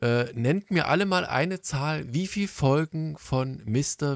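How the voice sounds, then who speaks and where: Dry and close with no echo, a man speaks with ordinary pitch variation. The recording is very clean, with a silent background. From East Germany. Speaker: podcast host. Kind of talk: casual chat.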